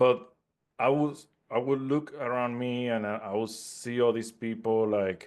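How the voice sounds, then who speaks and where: In a quiet background, a man speaks at a fairly slow pace with a medium pitch and monotone, flat intonation. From Puerto Rico, mountains. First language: Spanish. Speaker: network marketing entrepreneur. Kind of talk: interview. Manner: halting, many repetitions and fillers.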